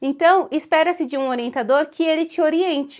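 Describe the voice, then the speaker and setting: A woman in a Brazilian accent at a moderate pace, on a very clean recording with a silent background. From Brazil (São Paulo). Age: 20s. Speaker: Portuguese language teacher and literature researcher. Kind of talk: casual talk to camera.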